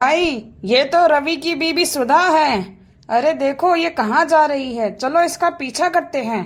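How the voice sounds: In a very clean recording with a silent background, a woman performs a high-pitched cartoonish character voice at a moderate pace.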